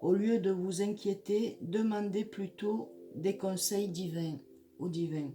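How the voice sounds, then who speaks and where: Somewhat breathy and dark and mellow in tone, a woman speaks at a very slow pace and medium pitch with ordinary pitch variation. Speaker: psychic tarot reader. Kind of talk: horoscope tarot reading. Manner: halting, many hesitations.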